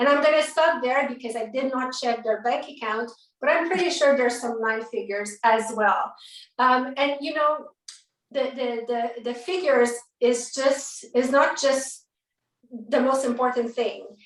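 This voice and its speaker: Speaking in a French accent, a woman talks at a moderate pace with a high pitch. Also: ordinary pitch variation. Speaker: network marketing book compiler and event host. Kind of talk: event speech, live-streamed book launch. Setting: live stream video call. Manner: animated.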